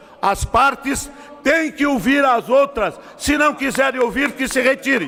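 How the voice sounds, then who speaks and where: A man with an extremely high pitch speaks at a fairly slow pace over noticeable background noise. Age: 70s. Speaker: politician chairing a session. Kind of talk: chairing a heated session. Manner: emphatic.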